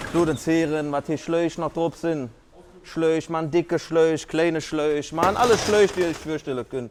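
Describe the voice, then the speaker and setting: Speaking with a Cologne accent, a man has a fairly high pitch. His pitch varies in an ordinary way. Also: moderate pace. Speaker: firefighter. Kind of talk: casual explainer to camera. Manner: jokey, casual.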